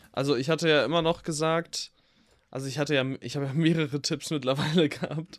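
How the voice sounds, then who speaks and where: On a very clean recording with a silent background, a man with a fairly high pitch rushes along at a very fast pace with fairly even intonation. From Ruhr area, Germany. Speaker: film podcast co-host. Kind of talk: casual chat.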